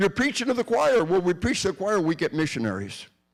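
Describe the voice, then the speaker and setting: A man talks at a very fast pace with vocal fry. The recording is very clean, with a silent background. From Arkansas. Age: 60s. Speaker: retired army officer and law enforcement trainer. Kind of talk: public lecture. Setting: church hall with audience. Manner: animated, emphatic.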